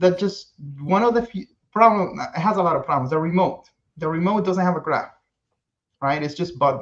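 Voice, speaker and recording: A man with a non-native accent speaks at a moderate pace, pitched high, with ordinary variation in pitch. He pauses often and at length. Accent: foreign accent, self-described. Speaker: kayak rigger and content creator. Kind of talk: casual podcast chat. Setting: live-streamed podcast.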